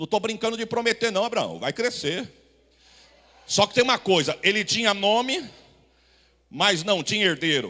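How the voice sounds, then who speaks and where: A raised, projected voice with a bright, sharp tone moves at a moderate pace. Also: man. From Brazil, São Paulo city. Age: 40s. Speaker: pastor. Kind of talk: sermon. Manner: animated.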